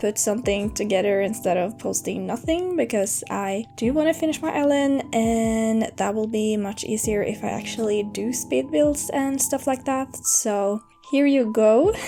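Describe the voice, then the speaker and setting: A woman's fairly slow speech is set against music in the background. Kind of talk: casual gameplay commentary.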